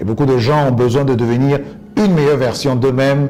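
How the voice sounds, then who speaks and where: A man with a medium-pitched voice talks while music plays in the background. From Côte d'Ivoire. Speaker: English coach and former UN interpreter. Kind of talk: interview answer.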